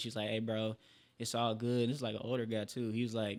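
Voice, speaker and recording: A man with medium pitch talks in a monotone, flat intonation. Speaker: singer and rapper. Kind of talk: casual chat. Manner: calm.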